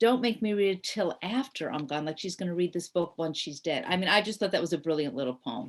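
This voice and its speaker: Ordinary pitch variation runs through a normal speaking voice. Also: woman. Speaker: writer and poet. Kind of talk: radio interview.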